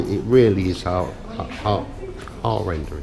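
Over music in the background, the speaker moves at a fairly slow pace with ordinary pitch variation. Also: man. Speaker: travel vlogger. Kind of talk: casual vlog commentary. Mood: emotional, subdued, hesitant. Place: hall. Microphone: phone near.

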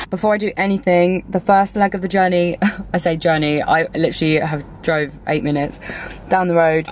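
With a plain, everyday voice, a woman speaks at a moderate pace, fairly low in pitch and with fairly even intonation, in a dry sound with no echo and light background noise. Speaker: travel vlogger. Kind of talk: casual vlog chat. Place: car. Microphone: phone near.

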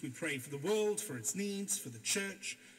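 Music plays in the background as a man speaks fairly slowly with lively intonation. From Wales. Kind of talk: sermon. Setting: church. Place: church. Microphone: camera far.

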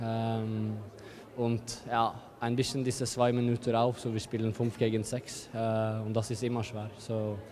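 The speech comes at a fairly slow pace in a flat monotone, with light background noise. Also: man. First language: not German (speaking German). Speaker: handball player. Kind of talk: interview. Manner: halting. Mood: calm, satisfied after win. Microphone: handheld.

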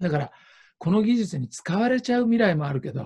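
Lively intonation carries a man's dark, mellow tone at a fairly quick pace. The background is quiet. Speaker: interpreter and speaker at ecovillage forum; speaker. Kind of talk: panel discussion with live interpreting. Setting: video call. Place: home room. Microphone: video call.

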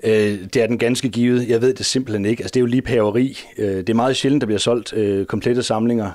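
Delivered very fast with hardly any pauses, the voice sounds dry with no echo. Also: man, medium pitch for a man, fairly even intonation. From Denmark. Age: 40s. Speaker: teacher and comics collector; teacher, comics collector. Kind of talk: interview. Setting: at home. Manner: halting. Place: home room.

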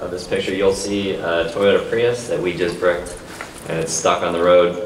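The room echo is audible. There is light background noise. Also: man. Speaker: keynote speaker. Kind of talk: conference keynote talk. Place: hall. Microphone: pa.

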